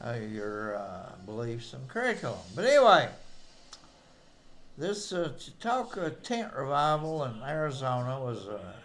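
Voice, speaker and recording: A man with a Southern Appalachian accent, at medium pitch and a fairly slow pace. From East Tennessee. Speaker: amateur historian. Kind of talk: casual commentary to camera.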